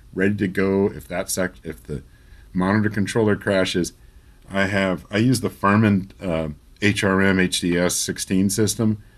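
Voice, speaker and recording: A man speaks in a normal speaking voice at a fairly low pitch, keeping a fairly slow pace and fairly even intonation. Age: 50s. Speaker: recording engineer and magazine editor. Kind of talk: casual chat.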